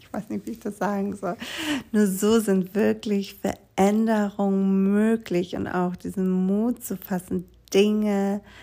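Speaking at a very slow pace, a woman uses a calm, gentle tone. Her pitch is medium, with fairly even intonation. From Greece, small island. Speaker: yoga teacher and essential oils advisor. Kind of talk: solo podcast monologue.

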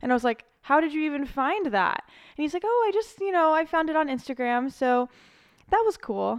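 Against a quiet background, a woman with an American accent talks fairly quickly with lively intonation. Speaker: podcast co-host, photographer. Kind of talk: casual chat.

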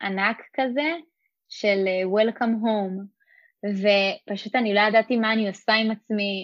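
Against a quiet background, a woman speaks at a very slow pace with fairly even intonation, the sound dry and close with no echo. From Israel, Rosh HaAyin. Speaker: former community emissary. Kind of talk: interview.

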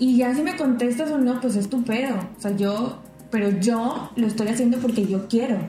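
In a room with audible echo and noticeable background noise, a woman speaks at a moderate pace in a high pitch with ordinary pitch variation. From Mexico, Tampico / Ciudad Madero, Tamaulipas. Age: 20s. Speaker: podcast co-host. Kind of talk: casual chat.

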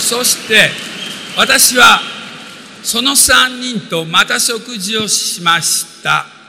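Speaking very slowly with long, frequent pauses, a man with a Japanese accent is heard over noticeable background noise. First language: Japanese (speaking Portuguese). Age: 60s. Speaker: business motivational speaker and composer. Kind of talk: motivational talk.

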